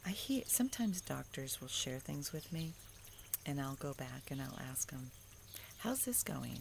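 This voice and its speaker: A woman talks at a moderate pace. She is soft-spoken. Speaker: faith vlogger. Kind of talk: devotional monologue. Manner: conversational.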